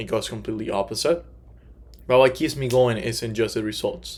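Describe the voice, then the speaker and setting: A man speaks at a moderate pace. His voice sits at a medium pitch. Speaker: life insurance salesman. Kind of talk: class presentation. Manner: halting.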